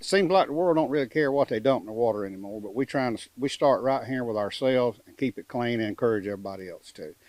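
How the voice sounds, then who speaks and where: Very fast speech with a Mississippi accent. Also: man, medium pitch for a man, lively intonation. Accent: Southern US (Mississippi). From US South, coastal Mississippi. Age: 70s. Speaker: houseboat resident. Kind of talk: interview.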